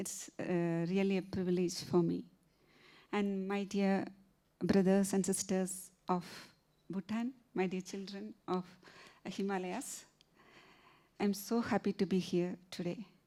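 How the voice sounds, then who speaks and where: A woman with a Keralan accent, medium pitch and a dark, mellow tone, monotone and flat in intonation, at a fairly slow pace with long, frequent pauses. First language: Malayalam. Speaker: novelist. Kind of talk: literary festival conversation. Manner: halting, many fillers.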